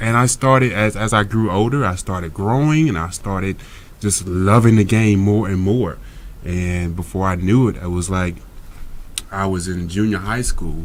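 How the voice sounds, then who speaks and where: A man with an American accent speaks at a fairly low pitch. His pitch varies in an ordinary way, and audible room echo surrounds the voice. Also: moderate pace. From US South, Monroe, Louisiana. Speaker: actor and former pro basketball player. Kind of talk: interview.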